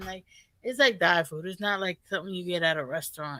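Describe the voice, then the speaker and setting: A woman talks at a moderate pace in a strong New York accent. Her tone is bright and sharp. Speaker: reaction video co-host. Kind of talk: casual chat.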